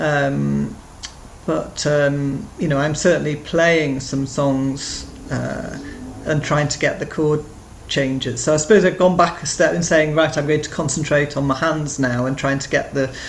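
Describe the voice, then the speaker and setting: Against noticeable background noise and audible room echo, a woman speaks at a fairly slow pace with a very deep, low pitch. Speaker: beginner guitar student and artist. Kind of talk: interview. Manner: halting, many fillers.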